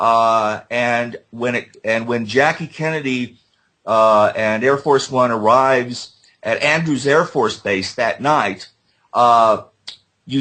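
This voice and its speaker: A man speaks with an American accent. His voice is at a medium pitch. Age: 60s. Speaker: JFK assassination researcher. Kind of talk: interview. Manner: halting, many fillers.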